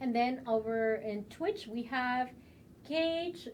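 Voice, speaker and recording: A woman with a strong Mexican accent speaks very slowly in a high voice, her intonation lively. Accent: thick Mexican. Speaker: game community livestream host. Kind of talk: live stream chat. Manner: animated.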